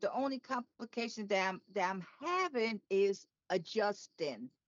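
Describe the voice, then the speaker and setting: Talking at a fairly slow pace, a woman with a fairly high pitch and ordinary pitch variation has an ordinary speaking voice. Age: 60s. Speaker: podcast co-host, aortic survivor. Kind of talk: personal testimony.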